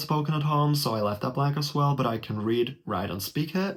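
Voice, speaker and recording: Somewhat breathy and fairly high in pitch, a man speaks at a moderate pace over a quiet background. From Germany. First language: German. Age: 20s. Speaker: YouTuber. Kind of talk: tutorial. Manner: casual. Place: home room. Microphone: webcam.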